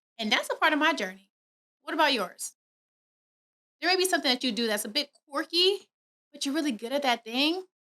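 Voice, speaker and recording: A woman with a high pitch uses a raised, projected voice and a bright, sharp tone. She sounds animated, with lively intonation and long, frequent pauses. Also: fairly quick pace. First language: not English. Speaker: podcast host. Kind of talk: motivational podcast monologue. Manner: fast.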